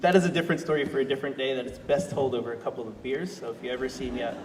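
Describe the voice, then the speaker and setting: There is audible room echo and noticeable background noise. A man talks at a medium pitch with ordinary pitch variation. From Australia. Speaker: sustainability director and panel facilitator. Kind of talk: personal talk at panel discussion. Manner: halting, many fillers.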